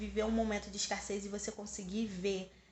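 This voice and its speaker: A woman's voice with audible room echo. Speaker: spiritual vlogger. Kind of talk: personal vlog monologue.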